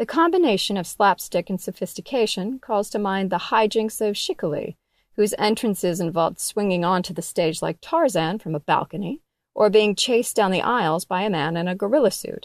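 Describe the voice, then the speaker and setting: In a normal speaking voice, the speaker goes at a fairly quick pace with lively intonation on a very clean recording with a silent background. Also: woman, medium pitch for a woman. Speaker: magazine editor reading article aloud. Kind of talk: literary audiobook reading of a magazine feature, scripted narration. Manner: measured, even narrator pacing.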